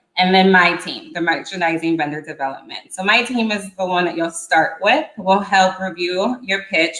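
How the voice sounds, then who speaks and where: A woman speaks in an unremarkable speaking voice. Her pitch sits fairly low, and she keeps a moderate pace. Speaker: retail vendor development manager. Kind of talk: presentation.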